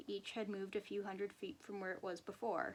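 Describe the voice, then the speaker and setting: A woman with a plain, everyday voice talks at a fairly quick pace and a medium pitch. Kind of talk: horror story reading.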